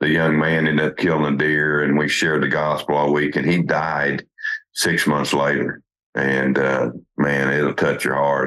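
This man has a very deep, low voice, talking at a moderate pace in a flat monotone with very even loudness. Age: 50s. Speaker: hunting show host. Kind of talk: casual interview chat. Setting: hunting camp on a ranch.

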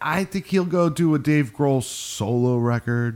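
A man speaks with very wide pitch swings against noticeable background noise. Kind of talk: casual chat. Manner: casual, swears often.

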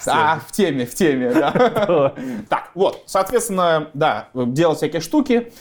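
Very slow speech from a man at a fairly high pitch. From Belarus (Gomel). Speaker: drone engineer and company founder. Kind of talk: interview.

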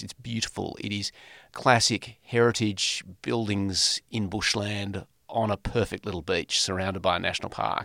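A man with an Australian accent and a fairly low pitch, his intonation fairly even, in a dry, close sound with no echo on a very clean recording over a silent background. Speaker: former politician. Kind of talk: interview.

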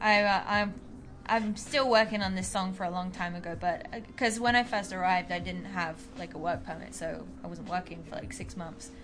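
With music in the background and audible room echo, a woman with a London accent talks at a fairly quick pace in a medium pitch, her loudness swinging widely. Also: ordinary pitch variation. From London, England. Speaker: rhythm guitarist and backing vocalist. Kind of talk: casual chat.

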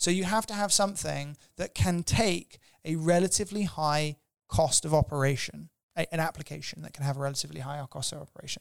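Talking at a very fast pace, a man has a fairly high pitch and ordinary pitch variation. The recording is very clean with a silent background, dry and close with no echo. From England, Cornwall. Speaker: tech company CEO. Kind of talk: interview. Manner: halting, repeats words.

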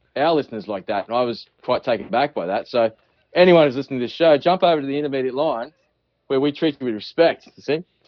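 Speaking with an Australian accent, a man uses a medium pitch and ordinary pitch variation. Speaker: fly tying business owner and podcast host. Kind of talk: casual chat, joking, profane. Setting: phone call.

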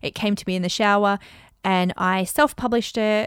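On a very clean recording with a silent background, a woman with an Australian accent talks in an animated tone at a moderate pace, her medium pitch showing ordinary variation. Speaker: podcast host, business coach and author. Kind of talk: solo podcast monologue.

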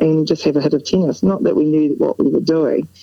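There is noticeable background noise behind this woman. She speaks at a moderate pace with a New Zealand accent. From New Zealand, North Otago. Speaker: former professional tennis player and coach. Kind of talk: casual interview.

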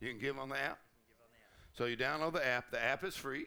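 An animated, bright, sharp voice from a man with a Southern US accent, fairly high in pitch. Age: 70s. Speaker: pastor. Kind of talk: sermon. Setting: church.

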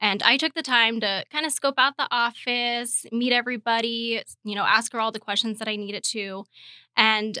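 Speaking at a fairly quick pace with an American accent, this bright, sharp voice shows ordinary pitch variation in a very clean recording with a silent background and a dry, close sound with no echo. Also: woman. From Arizona, Phoenix. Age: 20s. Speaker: real estate agent. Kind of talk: interview.

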